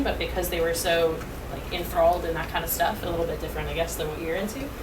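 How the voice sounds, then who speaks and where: Someone speaks with an American accent. There is noticeable background noise and audible room echo. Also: woman. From Massachusetts, Boston. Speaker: college student mentor. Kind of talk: informal workshop talk with audience.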